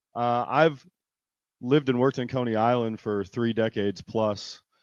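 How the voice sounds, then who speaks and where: A man's normal speaking voice, medium in pitch, with fairly even intonation at a fairly quick pace, over a quiet background. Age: 50s. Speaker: arts nonprofit manager. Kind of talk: public hearing testimony.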